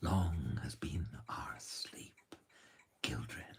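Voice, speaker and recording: A man whispers. He uses a put-on character voice. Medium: read story. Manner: solemn.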